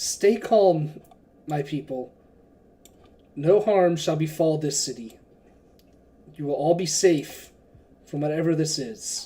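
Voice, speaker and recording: Raspy and middle-pitched, a put-on character voice moves at a fairly slow pace with long, frequent pauses. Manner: gentle, calm, reassuring.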